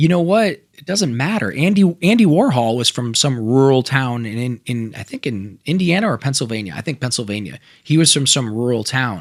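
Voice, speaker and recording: A man's medium-pitched, animated voice at a fairly quick pace, with very wide pitch swings and big swings in loudness, on a very clean recording with a silent background. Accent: American. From Ohio, US Midwest (Toledo). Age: 50s. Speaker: entrepreneur. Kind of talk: casual interview.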